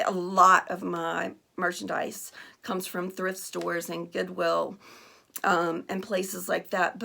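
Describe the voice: A woman puts on a character voice that is hoarse and raspy, fairly low in pitch and delivered at a fairly slow pace.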